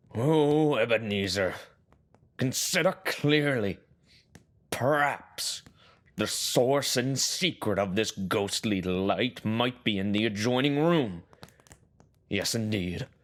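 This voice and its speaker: In a put-on character voice, a man at medium pitch talks at a fairly slow pace with long, frequent pauses, on a very clean recording with a silent background. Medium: audio drama. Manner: cautious, dry.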